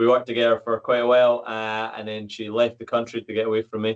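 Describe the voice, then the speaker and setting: A man's medium-pitched voice with a Scottish accent at a very fast pace. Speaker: podcast host and fitness coach. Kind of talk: podcast interview.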